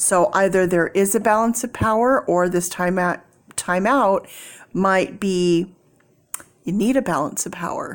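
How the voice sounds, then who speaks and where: At a fairly slow pace, a woman talks in a medium pitch. Her pitch varies in an ordinary way. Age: 50s. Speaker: tarot reader. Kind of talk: tarot reading.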